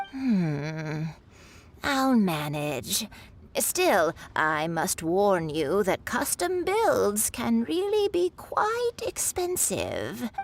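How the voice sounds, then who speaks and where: A woman puts on a character voice at a medium pitch. She delivers it at a very slow pace. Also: very even loudness. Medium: video game. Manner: kindly, grandmotherly.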